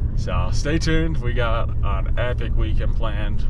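Loud background noise sits behind a man whose voice has a dry sound with no echo. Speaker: outdoor vlogger. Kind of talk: casual vlog chat. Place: car. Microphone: phone near.

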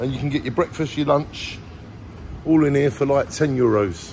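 Light background noise sits behind a man speaking at a fairly quick pace with ordinary pitch variation. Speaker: travel vlogger. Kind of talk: casual vlog chat. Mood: enthusiastic, impressed. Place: shop. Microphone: phone near.

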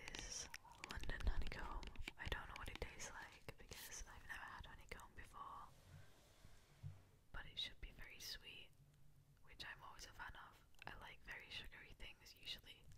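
A woman whispers in a playful tone at a moderate pace, with long, frequent pauses. Her loudness swings widely. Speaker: youtuber. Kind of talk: casual talk to camera. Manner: casual, playful, quiet. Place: home room. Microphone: studio mic.

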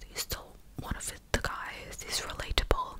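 Whispering at a fairly slow pace comes through over noticeable background noise. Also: woman. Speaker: commentary vlogger. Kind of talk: casual commentary. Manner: close-mic clicky whisper. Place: home room. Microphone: studio mic.

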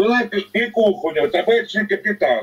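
Against a quiet background, a man with a high pitch and ordinary pitch variation speaks at a fairly slow pace. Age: 70s. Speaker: retired executive, former miner; caller. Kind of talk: heated debate. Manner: animated. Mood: scornful, critical. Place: home room. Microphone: video call.

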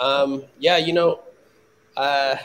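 With an American accent, a man talks at a fairly slow pace. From US West Coast (Palo Alto, California). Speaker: chef and restaurant owner. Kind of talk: casual chat. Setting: video call. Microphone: video call.

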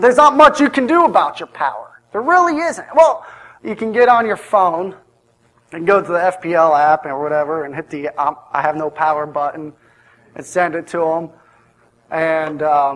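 This man talks at a moderate pace with lively intonation. His loudness swings widely. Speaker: preacher. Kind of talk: sermon. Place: church.

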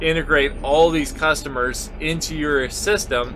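A man talks at a fairly slow pace, with noticeable background noise behind him. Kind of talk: casual vlog chat. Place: farm machine. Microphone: camera far.

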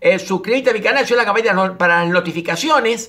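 The voice is bright and sharp, delivered at a very fast pace on a very clean recording with a silent background. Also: man. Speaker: personal development coach. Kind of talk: reading listener mail with commentary.

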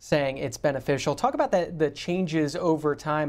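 A man's fairly high voice with fairly even intonation, a plain, everyday voice. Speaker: TV call-in show host. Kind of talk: TV call-in interview. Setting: TV studio. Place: studio.

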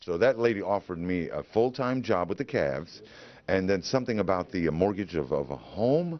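A fairly low-pitched man with an American accent and very wide pitch swings. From New York. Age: 50s. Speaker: former radio DJ. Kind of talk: interview answer.

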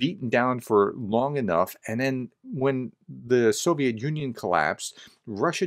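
The speaker talks at a moderate pace with ordinary pitch variation. The background is quiet. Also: man. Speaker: commentator. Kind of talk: commentary. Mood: calm, reflective. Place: home room.

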